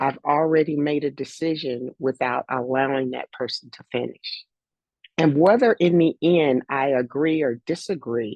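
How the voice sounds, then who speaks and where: At a fairly slow pace, a woman with a very deep, low pitch speaks with ordinary pitch variation and big swings in loudness. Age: 60s. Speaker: life coach and former athletics coach. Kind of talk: casual chat. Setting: video call.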